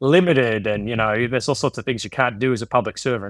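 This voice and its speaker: In a very clean recording with a silent background, a man with an Australian accent speaks with a dry, close sound and no echo. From Australia, Queensland (Sunshine Coast). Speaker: economics professor. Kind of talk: podcast interview. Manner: casual, with many fillers and repetitions.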